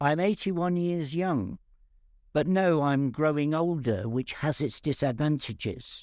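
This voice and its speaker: In a very clean recording with a silent background, a man speaks with an English accent. His pitch is fairly high, with ordinary variation. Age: 80s+. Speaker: cancer patient. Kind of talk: personal testimony.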